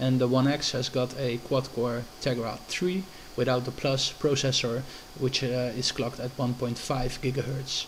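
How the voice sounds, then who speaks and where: A man's medium-pitched voice at a moderate pace, with noticeable background noise. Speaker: tech reviewer. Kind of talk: product review. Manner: hesitant, many fillers.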